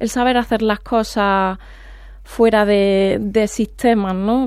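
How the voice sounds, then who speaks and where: With an Andalusian accent, a woman speaks in a monotone, flat intonation. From Andalusia, Córdoba. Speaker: poet and veterinarian. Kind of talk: radio interview.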